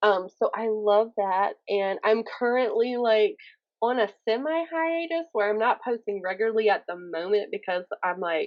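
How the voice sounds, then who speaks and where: With a Southern US accent, a woman speaks at a moderate pace with a fairly high pitch and lively intonation. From US South, Alabama. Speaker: author, poet and YouTuber. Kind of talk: interview. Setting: podcast. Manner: animated.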